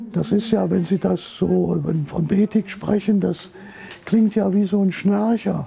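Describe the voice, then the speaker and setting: A man's very slow speech with very even loudness over noticeable background noise. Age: 80s+. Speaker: retired journalist and newspaper editor. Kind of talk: interview testimony.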